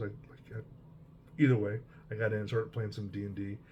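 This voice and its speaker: A man's medium-pitched, somewhat breathy voice with a dark, mellow tone and an American accent. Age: 60s. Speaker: hobby vlogger, veteran wargamer. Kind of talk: casual personal monologue. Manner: relaxed, many fillers.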